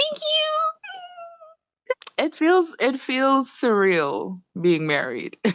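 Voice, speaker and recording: Dry and close with no echo, the recording catches a woman with an American accent talking at a very slow pace with hardly any pauses. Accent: Trinidadian, fluctuating with American. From Trinidad and Tobago. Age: 30s. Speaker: spiritual worker. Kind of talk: casual interview.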